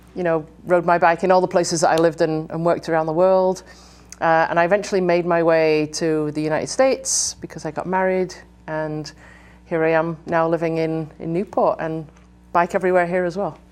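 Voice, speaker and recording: With an English accent, a woman speaks fairly quickly in a fairly low, monotone voice with flat intonation. The background is quiet. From England. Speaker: bike education director. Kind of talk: interview.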